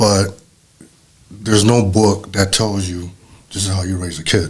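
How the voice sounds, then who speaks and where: At a fairly low pitch, a man speaks with a somewhat breathy sound, a fairly slow pace and monotone, flat intonation. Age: 60s. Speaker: father of the host. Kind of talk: casual conversation.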